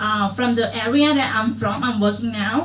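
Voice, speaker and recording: With a Thai accent, a woman speaks at a moderate pace amid audible room echo and noticeable background noise. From rural Thailand. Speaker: student. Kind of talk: classroom discussion. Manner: halting, many fillers.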